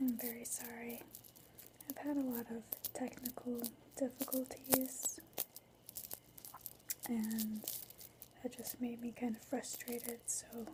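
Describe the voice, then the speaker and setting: Soft-spoken, monotone delivery with flat intonation and long, frequent pauses over noticeable background noise. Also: woman, high pitch for a woman. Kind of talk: ASMR ramble to camera.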